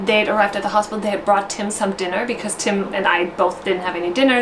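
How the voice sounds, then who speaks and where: Over noticeable background noise and audible room echo, a woman talks at a very fast pace in a medium pitch. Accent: German. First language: German. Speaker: vlogger, new mother. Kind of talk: personal storytelling vlog. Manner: casual, with fillers and self-corrections.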